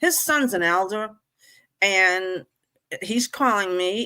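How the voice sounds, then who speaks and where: A woman speaks in a bright, sharp tone at a medium pitch. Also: very clean recording, silent background. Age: 70s. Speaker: former religious group member. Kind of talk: casual group discussion.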